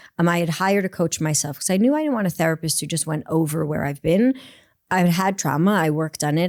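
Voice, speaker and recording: Very fast-talking woman with a New York accent and a fairly low pitch. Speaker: performance coach. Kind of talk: podcast interview. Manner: animated.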